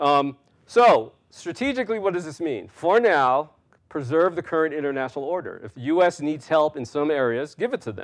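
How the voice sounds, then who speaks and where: Lively intonation at a moderate pace in an American accent, over a quiet background. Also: man, fairly high pitch for a man. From US, New York City. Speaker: national security scholar; guest lecturer. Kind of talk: lecture. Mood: relaxed, smiling, anecdotal. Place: hall. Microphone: lapel.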